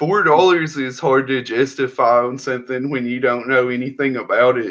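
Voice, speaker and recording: This man has a Southern US accent and a medium pitch. He talks at a moderate pace with fairly even intonation. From US South. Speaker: indie comic creator. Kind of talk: interview.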